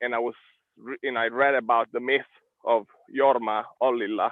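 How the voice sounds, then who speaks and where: A man speaks with an Italian accent. His pace is fairly slow. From Italy. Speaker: live stream host, entrepreneur. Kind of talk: casual interview. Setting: live stream. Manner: loud.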